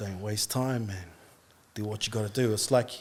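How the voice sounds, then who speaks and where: A man speaks with an Australian accent. His intonation is fairly even. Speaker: barber and artist, podcast guest. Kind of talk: testimony.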